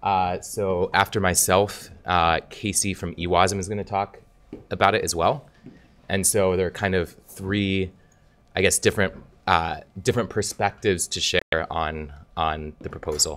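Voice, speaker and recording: A man talks at a moderate pace in a very deep, low pitch with fairly even intonation. Long pauses come often. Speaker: software engineer. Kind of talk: conference talk. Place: hall. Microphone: podium.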